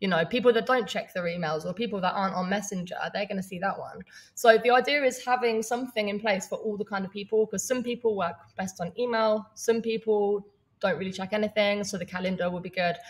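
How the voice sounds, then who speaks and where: A woman speaks at a very fast pace, somewhat breathy. Her pitch shows ordinary variation. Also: medium pitch for a woman. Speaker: online business coach. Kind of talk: live training webinar. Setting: livestream. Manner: casual, with fillers.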